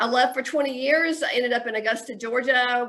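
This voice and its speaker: A woman with a Southern US accent speaks at a very fast pace. Her pitch is fairly high and her tone is bright and sharp. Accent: US South. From Chattanooga, Tennessee. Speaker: mayoral candidate. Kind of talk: interview.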